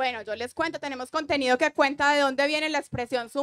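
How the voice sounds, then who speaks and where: Spoken at a fairly quick pace in an Antioquian accent with fairly even intonation, the clip has a dry, close sound with no echo and a very clean recording with a silent background. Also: woman. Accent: paisa Colombian. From Colombia, Antioquia (paisa, Medellín). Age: 30s. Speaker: digital content creator / reading influencer. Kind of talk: panel discussion. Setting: stage with audience.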